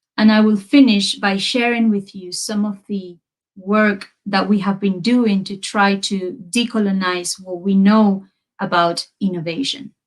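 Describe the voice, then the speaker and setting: A woman with a Spanish accent speaks at a fairly slow pace, her voice somewhat breathy. Her pitch is medium and her intonation fairly even. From Peru. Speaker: university researcher, lecturer. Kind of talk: academic lecture. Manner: hesitant, many fillers.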